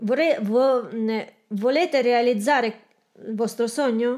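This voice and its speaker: Speaking very slowly in a Belarusian accent, a woman uses a high pitch with ordinary pitch variation. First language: Russian (speaking Italian). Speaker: aspiring entrepreneur. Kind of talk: coaching session. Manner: halting.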